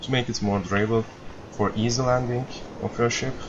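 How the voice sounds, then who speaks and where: A man's medium-pitched voice with a non-native accent, moderate pace and ordinary pitch variation, amid noticeable background noise. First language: non-native English speaker. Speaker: video game player. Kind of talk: game tutorial walkthrough. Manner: hesitant, many fillers.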